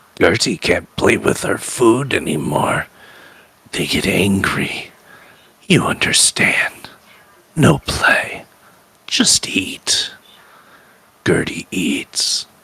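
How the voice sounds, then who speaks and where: A man's put-on character voice, raspy and guttural, at a very slow pace. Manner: menacing.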